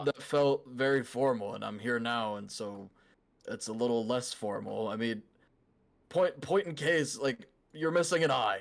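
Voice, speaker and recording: A raspy, put-on character voice from a man, medium in pitch, anxious in tone, with lively intonation at a moderate pace. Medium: actual play. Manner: anxious, halting.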